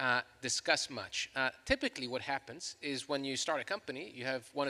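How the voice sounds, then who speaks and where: This man speaks at a fairly quick pace with a medium pitch, a bright, sharp tone, and a slight Chilean accent. The recording is very clean with a silent background, and the sound is dry and close with no echo. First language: Spanish. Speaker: law professor. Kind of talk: panel discussion.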